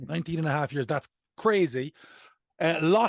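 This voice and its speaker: A man with a Cork accent talks at a fairly quick pace with lively intonation. The sound is dry and close with no echo, over a quiet background. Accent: Irish (Cork). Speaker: podcast host, comedian. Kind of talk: casual chat.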